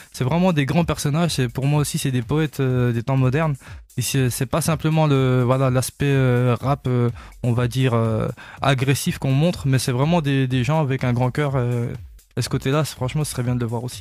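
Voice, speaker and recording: A man speaks at a moderate pace in a medium pitch. His intonation stays fairly even. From eastern France, Vosges. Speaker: singer. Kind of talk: radio interview. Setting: radio studio. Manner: hesitant, many fillers.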